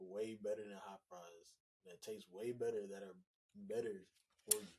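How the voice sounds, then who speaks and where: A man with a fairly low pitch and a dark, mellow tone talks at a moderate pace. His intonation is monotone and flat, while his loudness swings widely. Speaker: co-owner of a small business, podcast guest. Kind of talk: casual chat.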